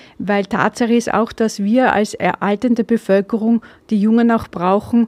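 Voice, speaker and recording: The sound is dry and close, without any echo. A woman speaks in a fairly high pitch. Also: very even loudness. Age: 50s. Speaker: political podcaster. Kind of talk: opinion monologue. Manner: hesitant with filler sounds.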